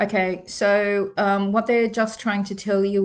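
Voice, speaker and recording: Her pitch sits at a medium level as the woman speaks with an Australian accent in a monotone, flat intonation. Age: 60s. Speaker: psychic reader. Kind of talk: live stream card reading. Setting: live video stream. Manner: warm, conversational.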